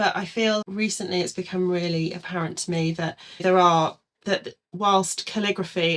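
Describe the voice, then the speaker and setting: In an English accent, a woman speaks at a moderate pace with a fairly low pitch and fairly even intonation. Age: 40s. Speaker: calligrapher. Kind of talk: casual chat.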